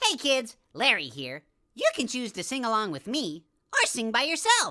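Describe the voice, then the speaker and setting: In a cartoonish character voice, a woman speaks at a moderate pace with a high pitch. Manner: friendly, upbeat.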